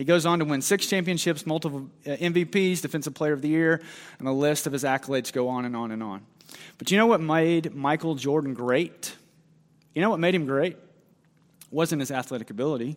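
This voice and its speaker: An unremarkable speaking voice from a man, fairly high, fairly quick, ordinary in pitch variation. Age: 30s. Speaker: pastor. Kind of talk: sermon.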